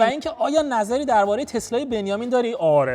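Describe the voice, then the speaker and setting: Speaking at a fairly quick pace, a man uses an extremely high pitch and lively intonation. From Iran, Bushehr province (Genaveh), also Shiraz. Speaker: YouTuber, vlogger. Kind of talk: casual Q&A vlog. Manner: casual, conversational.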